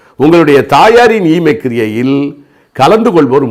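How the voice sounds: At a moderate pace, a man speaks with big pitch swings.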